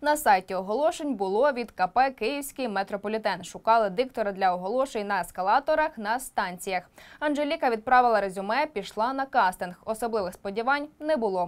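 Over a quiet background, a woman speaks in a normal speaking voice at a fairly high pitch and a fairly quick pace, with lively intonation and hardly any pauses. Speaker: news presenter. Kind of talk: news report narration. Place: studio. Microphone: lapel.

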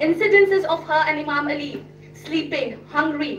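A woman with a high pitch talks at a moderate pace over noticeable background noise. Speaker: speaker. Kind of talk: speech. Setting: stage with audience. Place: hall. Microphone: podium.

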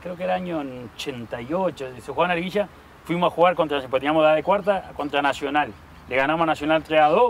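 In a normal speaking voice, the speaker moves at a fairly quick pace with lively intonation, a dry sound with no echo and light background noise. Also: man, fairly high pitch for a man. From Uruguay, Montevideo; Uruguay. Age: 40s. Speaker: former professional footballer (striker); interviewee. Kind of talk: casual sports interview. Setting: outdoors in a park. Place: open country. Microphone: lapel.

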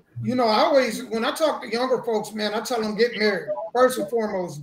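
A fairly quick delivery with noticeable noise in the background. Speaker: remote podcast guest. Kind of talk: podcast discussion. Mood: earnest advice.

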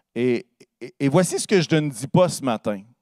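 A man speaks in a dry sound with no echo. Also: quiet background. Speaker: pastor. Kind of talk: sermon. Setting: church. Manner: fervent, warm and earnest, with rising praise-like exclamations; conversational, pausing often and stumbling on words. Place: church. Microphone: handheld.

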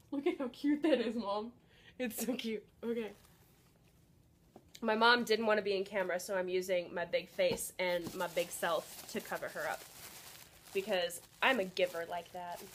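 A woman at a moderate pace with ordinary pitch variation, long and frequent pauses, and light background noise. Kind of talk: casual vlog chat. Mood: excited and happy. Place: home room. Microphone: phone near.

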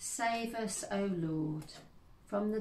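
A woman speaks at a very slow pace in a somewhat breathy voice with ordinary pitch variation, with audible room echo and light background noise. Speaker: service leader. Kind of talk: church service, liturgy and prayers; fervent intercessory prayer. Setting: church service, online. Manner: earnest, solemn, slow and heartfelt; warm, welcoming. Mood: calm, solemn. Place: home room. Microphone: phone near.

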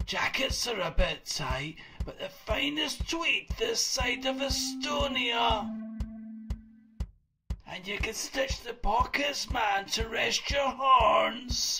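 A cartoonish character voice at a very slow pace, with faint music in the background. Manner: excited, rambling.

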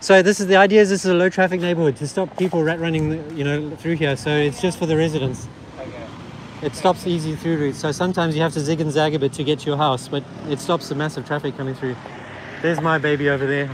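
Someone talks at a very fast pace with fairly even intonation, in a dry sound with no echo and noticeable background noise. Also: man, fairly high pitch for a man. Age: 40s. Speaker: cycling YouTuber. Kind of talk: live street vlog. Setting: outdoors. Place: street. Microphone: camera far.

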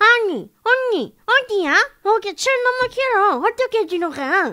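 Using a put-on character voice, a woman speaks at an extremely high pitch, fairly slowly, with lively intonation. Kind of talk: casual, complaining. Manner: imitating the friend's voice.

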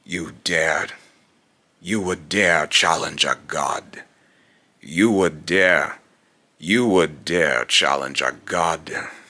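A man speaks in a put-on character voice with a very deep, low pitch. His pace is very slow, with long, frequent pauses. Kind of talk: dramatic villain voice acting. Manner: contemptuous, grandiose, taunting.

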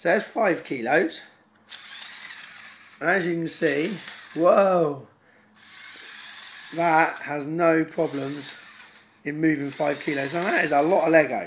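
Fairly even intonation with long, frequent pauses, over noticeable background noise. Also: man. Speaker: Lego robotics hobbyist. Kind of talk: casual demo talk to camera.

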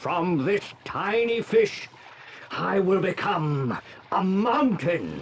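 A put-on character voice at a middle pitch, very slow, with clear background noise. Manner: boastful.

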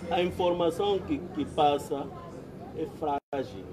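Noticeable background noise runs under this recording. A man with an Angolan accent and a high pitch speaks very slowly. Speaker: community debate participant. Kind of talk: community debate. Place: open country. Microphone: phone near.

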